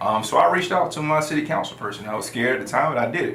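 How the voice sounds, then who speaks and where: There is audible room echo and noticeable background noise. A man talks with an American accent. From US South, South Carolina (Florence). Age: 20s. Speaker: lawyer and city council candidate. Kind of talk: interview. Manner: hesitant, many fillers.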